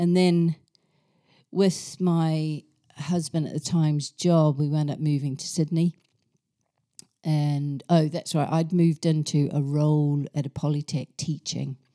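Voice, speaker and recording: In a New Zealand accent, a woman speaks at a fairly slow pace with a very deep, low pitch, a dark, mellow tone and monotone, flat intonation, recorded with a dry, close sound with no echo. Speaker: yoga and meditation teacher. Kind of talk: casual chat.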